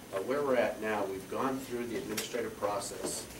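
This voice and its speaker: With an American accent, a man speaks fairly quickly and with fairly even intonation, amid noticeable background noise and audible room echo. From Montana. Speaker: lawyer. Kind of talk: speech. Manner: halting.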